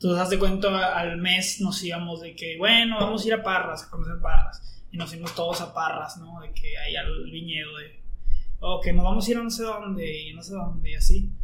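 With audible room echo and noticeable background noise, a man speaks in a raised, projected voice at a high pitch and fairly quick pace, his intonation fairly even while his loudness swings widely. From northern Mexico, Coahuila (Monclova). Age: 20s. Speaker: university student. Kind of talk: casual chat.

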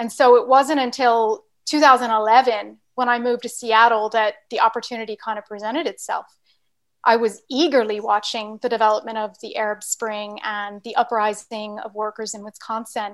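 Against a quiet background, a woman with an American accent and fairly high pitch talks at a moderate pace with fairly even intonation, in an unremarkable speaking voice. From Virginia, US. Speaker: scientist and activist. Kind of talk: interview discussion.

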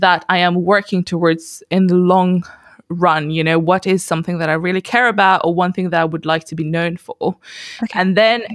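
A woman's unremarkable speaking voice, an unremarkable speaking voice at medium pitch, fairly quick, dry and close with no echo, very clean with a silent background. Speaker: podcast host. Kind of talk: casual interview chat.

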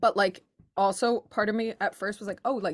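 At a fairly quick pace, this is a normal speaking voice. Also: woman. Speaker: book club podcast co-host. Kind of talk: casual chat.

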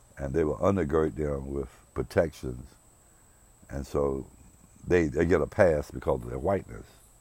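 A man with a very deep, low, dark and mellow voice speaks at a moderate pace with ordinary pitch variation, vocal fry and frequent long pauses. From US South, rural South Carolina. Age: 60s. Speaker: podcast host. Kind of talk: personal monologue. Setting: outdoors on his porch. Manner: reflective, hesitant with fillers.

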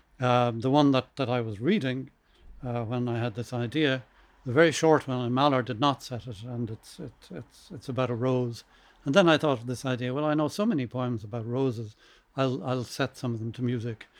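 A man with an Irish accent at a fairly quick pace, medium pitch and ordinary pitch variation. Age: 70s. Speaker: composer. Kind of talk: casual chat. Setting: stage with audience. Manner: halting.

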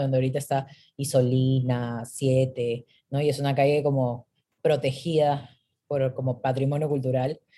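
Her voice is very deep and low with a dark, mellow tone, delivered in a monotone, flat way at a moderate pace. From Peru. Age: 30s. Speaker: creative entrepreneur. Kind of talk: casual chat.

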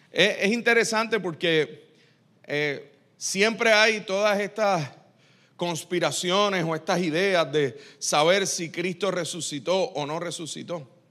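The man's pitch is high and his tone bright and sharp, with ordinary pitch variation. He talks at a very slow pace in a very clean recording with a silent background. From Puerto Rico. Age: 40s. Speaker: pastor. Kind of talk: sermon.

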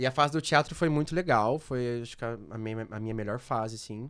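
Here a man talks at a fairly quick pace. He has an unremarkable speaking voice. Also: very clean recording, silent background. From Londrina, Paraná, Brazil. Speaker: pop singer. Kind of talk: casual chat.

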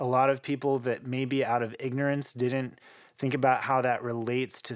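On a very clean recording with a silent background, a man speaks at a moderate pace in a medium pitch. He has an American accent and monotone, flat intonation. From Oklahoma, US. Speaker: cellist and composer. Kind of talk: interview conversation.

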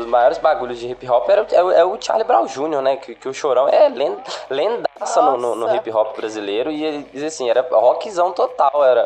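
A man talks at a moderate pace with hardly any pauses, his loudness swinging a lot. Noticeable background noise is present. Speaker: podcast co-host. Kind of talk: casual chat.

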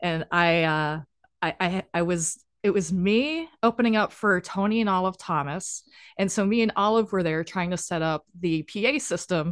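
In a dry, close recording with no echo and a quiet background, a woman speaks at medium pitch with ordinary pitch variation. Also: moderate pace. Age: 40s. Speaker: LEGO builder and business owner. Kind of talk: casual chat. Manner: animated.

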